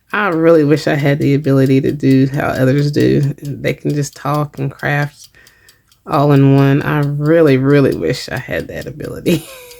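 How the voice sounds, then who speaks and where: A woman speaks quietly at a moderate pace. Her pitch is very deep and low, with fairly even intonation. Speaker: craft video creator. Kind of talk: craft tutorial narration. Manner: casual, hesitant with fillers; quiet while crafting.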